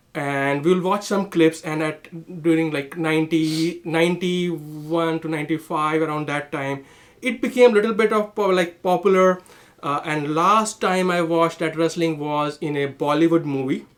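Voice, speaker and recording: Speaking at a moderate pace with a strong Indian accent, a man uses a fairly high pitch and ordinary pitch variation. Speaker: comedian. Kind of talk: casual chat. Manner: halting, many fillers.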